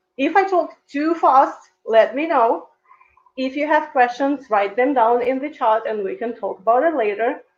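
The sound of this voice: At a moderate pace, a woman talks with a high pitch. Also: ordinary pitch variation.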